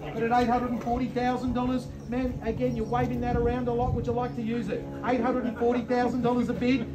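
Fairly quick male speech over clear music in the background. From Australia. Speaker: auctioneer. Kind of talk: rapid-fire auction bid calling. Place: garden. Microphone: phone near.

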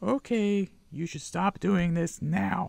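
A man uses a put-on character voice at a high pitch. He speaks at a fairly slow pace. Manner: silly, playful.

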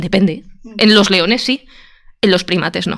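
At a very fast speed, a woman talks with ordinary pitch variation. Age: 30s. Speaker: train driver and YouTuber. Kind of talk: debate panel discussion.

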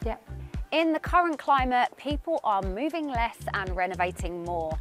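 A woman speaks with very wide pitch swings. Faint music plays in the background of a dry sound with no echo. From London. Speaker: TV presenter and interior designer. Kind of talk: presenter showreel, talk to camera.

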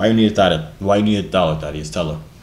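In a room with audible echo, a man speaks at a very fast pace with a low pitch, ordinary pitch variation and a slightly mellow tone.

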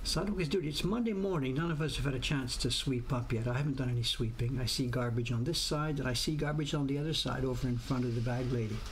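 A man talks at a very fast pace with hardly any pauses, very even loudness and ordinary pitch variation over light background noise. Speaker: livestream host. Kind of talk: casual livestream chat.

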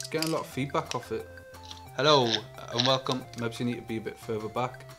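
A man mumbles quietly at a very fast pace, his medium pitch held in fairly even intonation. Clear music plays in the background. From England. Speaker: YouTube gadget reviewer. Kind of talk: product review. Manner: quiet, mumbling.

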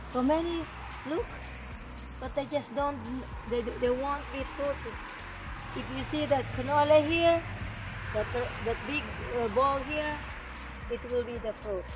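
With music in the background, a woman speaks at a high pitch and a fairly slow pace, leaving long, frequent pauses. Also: ordinary pitch variation. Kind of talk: casual vlog chat. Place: garden. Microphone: camera far.

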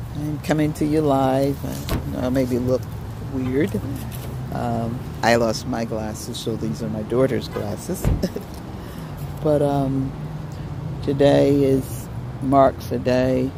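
Over noticeable background noise, a woman with a very deep, low pitch speaks at a very slow pace with long, frequent pauses and fairly even intonation, in a dry sound with no echo. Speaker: grieving daughter speaking about her late mother. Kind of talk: casual talk to camera, live video message. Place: open country. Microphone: phone near.

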